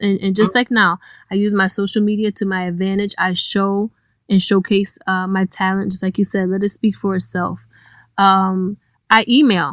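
A woman with a plain, everyday voice at medium pitch speaks at a moderate pace, dry and close with no echo, on a very clean recording with a silent background. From Cleveland, Ohio. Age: 30s. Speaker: DJ. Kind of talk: casual interview.

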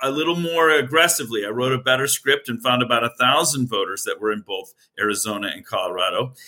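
Bright and sharp in tone, a man rushes along at a very fast pace with hardly any pauses. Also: medium pitch for a man, ordinary pitch variation. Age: 60s. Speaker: physicist and election integrity activist. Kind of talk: interview.

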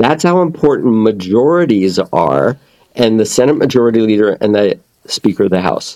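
With very even loudness and a dark, mellow tone, a man speaks at a moderate pace and medium pitch, his pitch swinging very widely. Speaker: author and communication coach. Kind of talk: casual interview chat.

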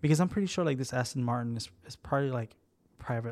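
The voice is somewhat breathy and shows ordinary pitch variation. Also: man. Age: 30s. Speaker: podcast co-host. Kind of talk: casual chat.

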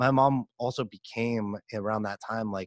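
In a dry, close recording with no echo and a quiet background, a man with an unremarkable speaking voice talks at a moderate pace and a medium pitch. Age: 30s. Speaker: podcast host and performance coach. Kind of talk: interview conversation. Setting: home recording studio.

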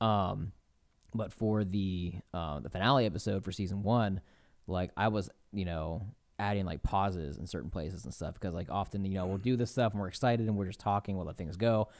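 A man with a normal speaking voice, fairly low in pitch, with ordinary pitch variation at a fairly quick pace, on a very clean recording with a silent background. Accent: American. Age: 20s. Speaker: podcast host and game master. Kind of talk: casual chat.

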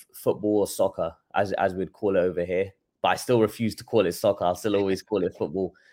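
Speaking at a fairly quick pace with a London accent, a man is heard on a very clean recording with a silent background. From London, England. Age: 20s. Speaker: boxing trainer. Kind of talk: casual interview chat.

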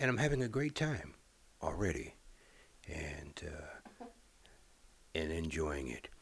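A man with a very deep, low pitch and a somewhat breathy voice speaks at a fairly slow pace, using very wide pitch swings and long, frequent pauses. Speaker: former radio broadcaster. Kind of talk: interview. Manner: hesitant fillers.

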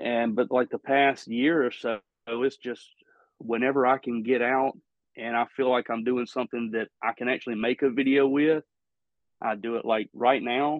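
Intonation here is monotone and flat. There is a slight Southern US accent. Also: man, medium pitch for a man, moderate pace. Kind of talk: casual interview chat.

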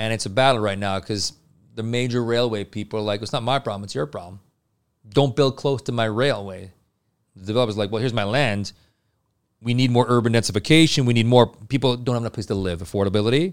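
This man talks at a very fast pace with a Canadian accent. His pitch varies in an ordinary way. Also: medium pitch for a man, very clean recording, silent background. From Montreal, Quebec. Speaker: building products sales rep. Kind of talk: interview. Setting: studio.

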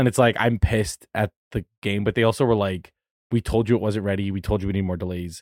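Fairly even in intonation, the speech races along at a very fast pace with a dry, close sound and no echo. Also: man, fairly low pitch for a man. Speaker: podcast host. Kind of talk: casual chat.

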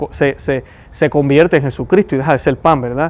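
In a Puerto Rican accent, a man talks at a moderate pace over noticeable background noise. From Puerto Rico. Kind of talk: religious commentary.

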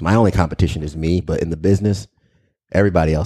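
Very deep and low in pitch, a man with an American accent and a dark, mellow tone talks at a very fast pace with fairly even intonation. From New York, Long Island. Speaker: local TV news anchor. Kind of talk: casual interview. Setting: studio.

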